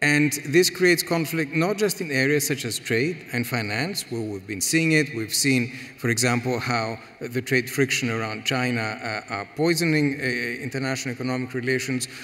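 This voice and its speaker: A man with a Greek accent speaks at a moderate pace and medium pitch, with hardly any pauses. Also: ordinary pitch variation. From Greece. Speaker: economic policy expert. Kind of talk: panel discussion. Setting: stage with audience. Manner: halting, many repetitions. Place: hall. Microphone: headset.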